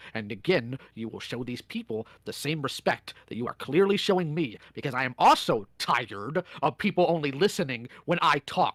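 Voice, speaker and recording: A man with a normal speaking voice and a fairly high pitch talks at a moderate pace with lively intonation and hardly any pauses. His loudness swings widely, and the sound is dry and close with no echo. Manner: stern, confrontational.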